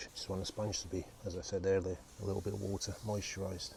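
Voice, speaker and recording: A man talks very fast in a fairly low, somewhat breathy voice with a dark, mellow tone and fairly even intonation. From Portsmouth, southern England. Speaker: tiler. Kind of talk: tutorial.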